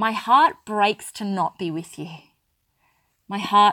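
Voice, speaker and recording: A woman with an Australian accent speaks very slowly at a medium pitch. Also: dry, close sound with no echo. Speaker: spiritual business coach and podcast host. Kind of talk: solo podcast monologue.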